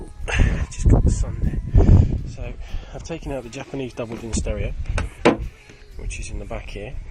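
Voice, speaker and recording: Fairly even intonation from a man, noticeable background noise underneath. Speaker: car hobbyist video maker. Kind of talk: casual tutorial. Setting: outdoors in sun by car.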